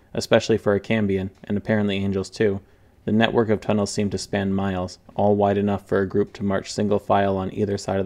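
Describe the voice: The recording is plain reading aloud.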